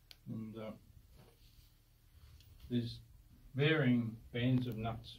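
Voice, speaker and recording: Somewhat breathy man's voice over light background noise. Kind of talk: explanatory tour talk. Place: tunnel cave. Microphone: phone near.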